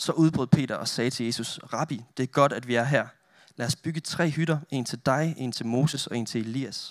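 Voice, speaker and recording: An unremarkable speaking voice, heard on a very clean recording with a silent background, moves at a moderate pace with ordinary pitch variation. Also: man, medium pitch for a man. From northern Denmark. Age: 20s. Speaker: youth pastor and photographer. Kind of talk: sermon with prayer. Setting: church with audience.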